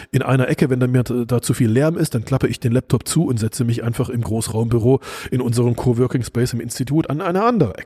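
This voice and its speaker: Very fast and somewhat breathy, a man speaks in a dark, mellow tone at medium pitch with ordinary pitch variation, the sound dry and close with no echo. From East Germany (GDR). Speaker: futurist and podcast host, former radio journalist. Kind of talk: solo podcast monologue.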